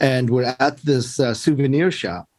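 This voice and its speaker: The speech comes at a very slow pace. It carries a mid-Atlantic accent. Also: man. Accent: American English (mid-Atlantic). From US, Baltimore and Maryland; born in Korea. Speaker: professor and preacher. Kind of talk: interview conversation.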